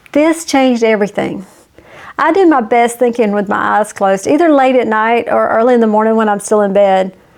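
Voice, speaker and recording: At a moderate pace and with ordinary pitch variation, an ordinary speaking voice is heard. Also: woman. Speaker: YouTube business coach. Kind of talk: casual talk to camera. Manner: friendly, conversational.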